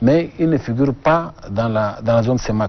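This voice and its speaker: Pitch varying in the usual way, a man talks in a mid-range voice. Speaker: government export official. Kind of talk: TV interview.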